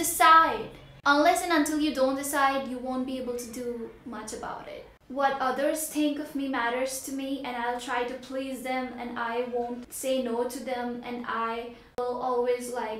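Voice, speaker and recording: With an Indian accent, a woman speaks at a high pitch and a fairly slow pace, with audible room echo and noticeable background noise. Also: big swings in loudness. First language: Hindi. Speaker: vlogger. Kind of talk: motivational vlog. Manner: animated.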